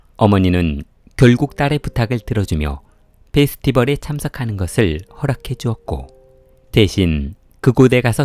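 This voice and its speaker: A man's dark, mellow voice at medium pitch, with very wide pitch swings, a moderate pace, and a dry, close sound with no echo. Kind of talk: true crime story narration.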